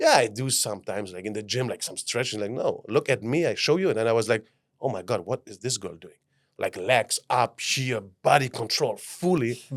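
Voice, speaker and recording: Speaking in a German accent, the voice is animated and fairly quick, with ordinary pitch variation. Its loudness swings a great deal. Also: man, medium pitch for a man. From Germany. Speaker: life mentor. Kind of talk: podcast interview.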